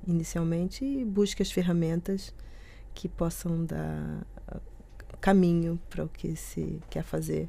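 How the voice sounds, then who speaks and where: Speaking very slowly in a Rio de Janeiro accent, a woman has a fairly low pitch and a dark, mellow tone. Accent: Brazilian Portuguese, Rio (carioca). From Brazil, Rio de Janeiro. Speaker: nutrition researcher. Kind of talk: radio interview. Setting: studio.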